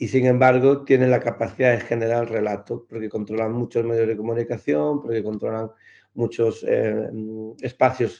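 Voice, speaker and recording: A man's voice, dark and mellow in tone, carries fairly even intonation over a quiet background. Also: medium pitch for a man, moderate pace. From Galicia, Spain. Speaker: clown and NGO founder. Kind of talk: interview answer.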